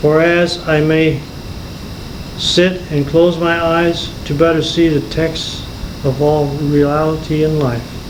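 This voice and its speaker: A man's fairly high, monotone, flat voice at a very slow pace, with audible room echo and noticeable background noise. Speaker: amateur poet. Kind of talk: reading aloud. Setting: home recording. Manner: halting.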